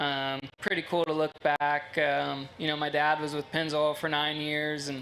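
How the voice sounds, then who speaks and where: A man speaks at a moderate pace in a fairly high pitch, with a monotone, flat delivery. Room echo is audible. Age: 30s. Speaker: sprint car driver. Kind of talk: interview. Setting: stage at race track.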